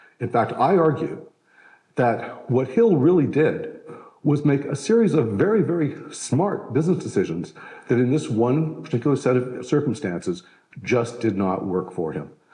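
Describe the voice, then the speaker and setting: Audible room echo surrounds a man talking at a moderate pace and medium pitch, his voice swinging very widely in pitch. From Canada. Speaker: historian. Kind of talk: lecture. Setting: stage with live audience. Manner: conversational, with fillers.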